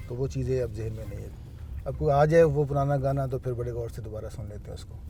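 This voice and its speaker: The room echo is audible. Music plays in the background. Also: man. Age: 60s. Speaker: businessman. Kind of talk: interview.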